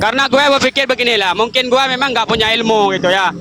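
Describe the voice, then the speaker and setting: Shouting in a raised, projected voice with an Aceh accent, a man talks at a very fast pace in an animated tone with ordinary pitch variation, over noticeable background noise. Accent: Acehnese. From Aceh, Indonesia. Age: young. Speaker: activist who was assaulted. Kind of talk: interview. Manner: loud, shouting style.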